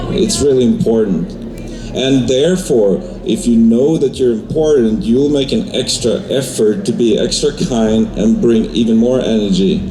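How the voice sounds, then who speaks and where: A man speaks at medium pitch with a Swedish accent, his pitch swinging very widely. Music plays in the background, and there is audible room echo. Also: moderate pace, very even loudness. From Sweden. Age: 40s. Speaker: DJ and producer. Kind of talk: audience Q&A.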